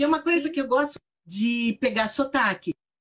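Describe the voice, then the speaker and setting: A woman's high-pitched, animated voice with lively intonation at a moderate pace. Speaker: bank manager. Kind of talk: casual chat.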